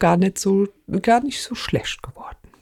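Somewhat breathy, dark and mellow tones from a woman. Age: 40s. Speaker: podcast co-host, court employee. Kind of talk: casual chat.

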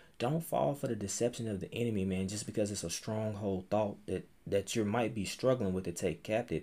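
A man speaks at a fairly quick pace in a normal speaking voice. His pitch is fairly low, with ordinary pitch variation. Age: 30s. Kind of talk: casual faith interview chat.

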